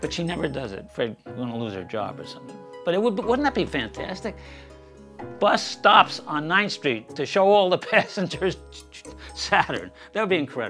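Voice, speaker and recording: Over faint background music, a man talks at a fairly quick pace and fairly high pitch, his pitch swinging very widely and his loudness rising and falling in big swings. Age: 80s+. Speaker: amateur astronomer. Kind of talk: documentary interview answer. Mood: amused, enthusiastic. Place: home room.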